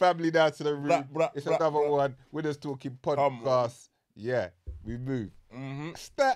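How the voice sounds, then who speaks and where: A man speaks with a London accent at a moderate pace. His pitch is fairly high, with ordinary variation, over a quiet background. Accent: London multicultural English. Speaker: podcast host. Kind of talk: casual chat. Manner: animated.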